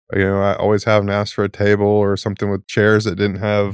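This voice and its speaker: Speaking with an American accent, a man talks at a fairly quick pace and fairly low pitch. The recording is very clean, with a silent background. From Tulsa, Oklahoma. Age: 40s. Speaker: former college football player, cyclist. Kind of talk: interview.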